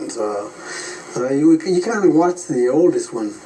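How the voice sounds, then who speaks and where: A man talks at a fairly slow pace with ordinary pitch variation. Background noise is noticeable. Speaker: war veteran. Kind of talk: interview. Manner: halting.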